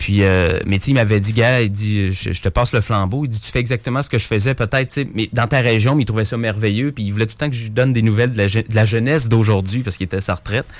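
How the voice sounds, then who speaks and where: With a Quebec accent, a man rushes along at a very fast pace, hardly pausing, his intonation fairly even. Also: medium pitch for a man. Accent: Québécois French. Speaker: youth entertainer. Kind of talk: interview.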